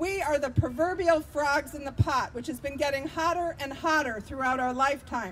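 Shouting with hardly any pauses, a woman with an American accent and a warm tone speaks high-pitched at a moderate pace, with ordinary pitch variation and light background noise. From Vermont, US. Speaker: activist and political candidate. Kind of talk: impassioned outdoor rally speech against militarism, stacking budget figures. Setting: rally with live audience. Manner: fiery and rousing, repeating lines like 'It's monstrous' for emphasis; warm and engaged with the crowd, laughing at their shouts. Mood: earnest, persuasive. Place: street. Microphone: podium.

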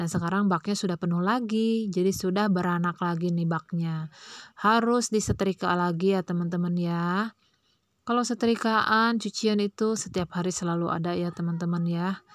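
An unremarkable speaking voice from a woman at medium pitch, with fairly even intonation and a moderate pace, on a very clean recording with a silent background. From Indonesia, Pandeglang, Banten. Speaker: vlogger, housewife. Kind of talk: casual vlog narration. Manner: chatty, many fillers.

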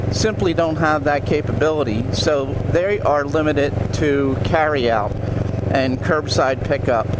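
Over loud background noise, a man talks at a fairly slow pace with ordinary pitch variation and a dry sound with no echo. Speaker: local guide. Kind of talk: casual vlog commentary. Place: motorbike. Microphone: helmet.

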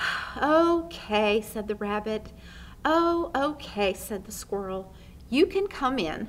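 The text is read out plainly, with a lively rise and fall in the intonation.

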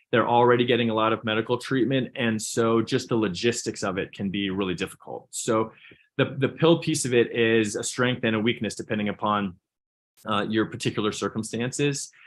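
Speaking fairly quickly with an American accent, a man keeps a medium pitch and fairly even intonation. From US Southwest, New Mexico (Albuquerque). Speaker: pediatric neurosurgeon and professor. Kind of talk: conference presentation. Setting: video call.

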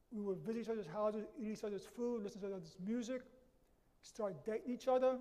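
A high-pitched male voice in a New York accent, dark and mellow in tone, with long, frequent pauses. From New York City, the Bronx. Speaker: lecturer. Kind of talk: lecture. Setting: auditorium with audience. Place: hall.

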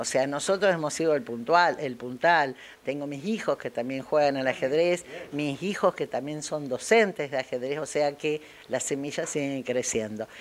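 Her voice is very deep and low in pitch, and this woman shows ordinary pitch variation. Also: moderate pace. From Argentina, Paraná (Entre Ríos). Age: 60s. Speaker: chess teacher. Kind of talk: interview. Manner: animated; halting.

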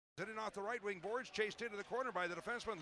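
A man's raised, projected voice over noticeable background noise. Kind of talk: ice hockey play-by-play commentary. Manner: fast, clipped, animated play-by-play delivery.

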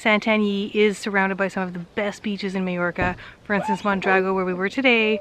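A woman at a very fast pace, monotone and flat, with dry sound with no echo and noticeable background noise. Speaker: travel vlogger. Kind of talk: casual vlog chat. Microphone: phone near.

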